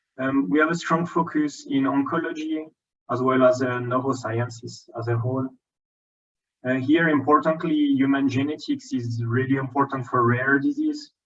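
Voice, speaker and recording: Speaking with a French accent, a man keeps a medium pitch, a moderate pace, and fairly even intonation. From France. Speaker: genomics scientist. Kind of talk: conference lecture. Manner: hesitant, many filler ums.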